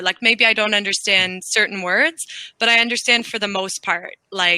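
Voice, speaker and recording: A woman's bright, sharp voice with ordinary pitch variation, dry and close with no echo. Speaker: online English tutor. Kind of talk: casual conversation lesson. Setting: video call.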